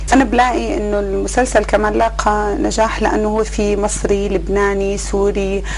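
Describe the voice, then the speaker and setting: A woman speaks at a moderate pace with hardly any pauses, with audible room echo and noticeable background noise. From Syria, Bedouin roots from Al-Hasakah governorate. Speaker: actress and TV producer. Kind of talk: interview. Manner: hesitant, many fillers.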